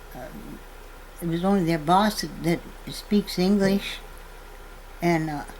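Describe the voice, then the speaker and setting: Over noticeable background noise, a woman at medium pitch speaks at a very slow pace with long, frequent pauses, big swings in loudness and ordinary pitch variation. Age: 80s+. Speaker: farmer. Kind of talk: testimony. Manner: halting.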